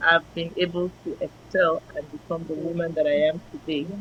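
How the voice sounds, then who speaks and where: At a fairly slow pace, a woman's voice comes out somewhat breathy. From Nigeria. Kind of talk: interview.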